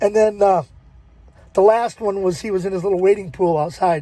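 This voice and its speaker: A man's high voice, dark and mellow in tone, at a moderate pace. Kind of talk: casual talk to camera. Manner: soft-spoken.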